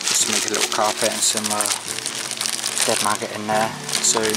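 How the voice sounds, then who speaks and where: Over loud background noise, the speech runs at a fairly quick pace with a dry sound and no echo. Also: man. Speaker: angler vlogger. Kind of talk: casual vlog chat. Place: waterside. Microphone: phone near.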